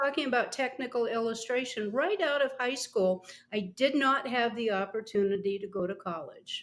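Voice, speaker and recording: A woman's high-pitched voice at a moderate pace, with ordinary pitch variation and hardly any pauses. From Montana. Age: 70s. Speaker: artist. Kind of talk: interview.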